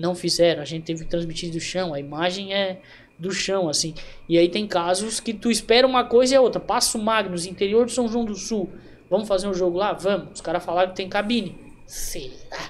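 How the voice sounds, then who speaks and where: A man talks at a fairly quick pace. His high pitch shows ordinary pitch variation. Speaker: amateur football broadcaster and narrator. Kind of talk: casual interview chat.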